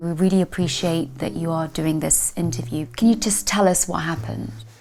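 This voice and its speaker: Lively intonation carries over noticeable background noise. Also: woman, fairly low pitch for a woman. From Philippines. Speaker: TV presenter, journalist and voiceover artist. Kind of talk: interviewing and presenting segments.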